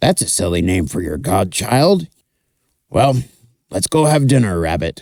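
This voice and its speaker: Putting on a raspy character voice, a man speaks very deep and low at a moderate pace, with long, frequent pauses. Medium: read story. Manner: blunt, gruff.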